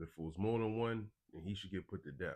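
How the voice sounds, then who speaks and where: A man speaks in an ordinary speaking voice, fairly low in pitch with ordinary pitch variation, against a quiet background. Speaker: religious teacher and news commentator. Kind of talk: live stream commentary with scripture reading.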